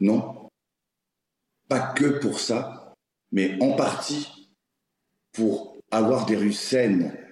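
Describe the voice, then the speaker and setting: A man speaks at a very slow pace with long, frequent pauses, very even loudness and ordinary pitch variation, in audible room echo. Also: medium pitch for a man. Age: 40s. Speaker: garbage collector and social media creator. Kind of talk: casual interview chat.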